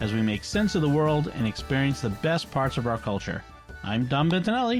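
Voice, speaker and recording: Music plays in the background as a man speaks at a moderate pace. His pitch swings very widely. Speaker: podcast host. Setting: home recording.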